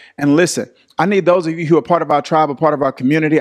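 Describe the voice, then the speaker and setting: Over a quiet background, a man races along at a very fast pace with ordinary pitch variation. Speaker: pastor teaching online. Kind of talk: livestream Bible study talk. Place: studio. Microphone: studio mic.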